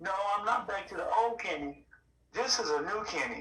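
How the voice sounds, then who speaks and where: Amid noticeable background noise and audible room echo, a man with a high pitch speaks in a raised, projected voice at a moderate pace. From Arkansas, US South. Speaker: podcast guest sharing recovery story. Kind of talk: interview testimony. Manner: repetitive, emphatic.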